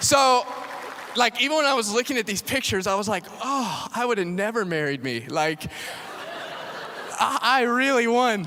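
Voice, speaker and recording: A man's extremely high-pitched, raised and projected voice at a moderate pace, with lively intonation and long, frequent pauses. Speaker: pastor. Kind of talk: sermon. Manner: casual, conversational.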